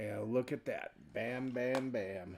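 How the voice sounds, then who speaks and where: Quiet and with fairly even intonation, a man speaks at medium pitch with an American accent. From Washington state, US. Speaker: coin collecting livestreamer. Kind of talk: casual live-stream chat while searching coins. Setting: live stream with hand cam. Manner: voice tends to get quieter as he talks.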